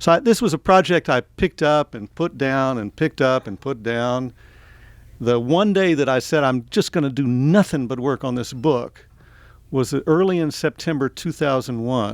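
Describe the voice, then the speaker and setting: With an American accent, a man speaks at a moderate pace and medium pitch with ordinary pitch variation, in a very clean recording with a silent background and a dry, close sound with no echo. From US South (Tennessee, Atlanta), then Oregon from age eleven. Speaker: author. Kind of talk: book talk to an audience. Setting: bookstore event with audience. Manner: conversational, with frequent fillers.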